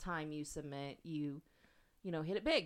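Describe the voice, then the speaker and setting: Over a very clean recording with a silent background, a woman uses a plain, everyday voice, talking at a fairly quick pace with fairly even intonation. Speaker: podcast co-host. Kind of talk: casual chat. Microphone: new microphone.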